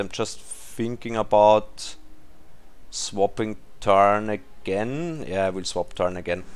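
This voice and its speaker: A man with a non-native accent, speaking at a fairly slow pace. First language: not English. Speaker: mobile game YouTuber. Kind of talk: gameplay commentary. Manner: halting, searching for words.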